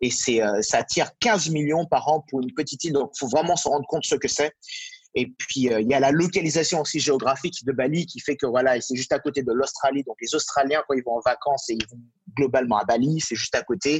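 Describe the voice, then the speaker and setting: A man with a fairly high pitch and ordinary pitch variation, talking at a fairly quick pace. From Martinique. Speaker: real estate consultant. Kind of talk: interview. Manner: halting, many fillers.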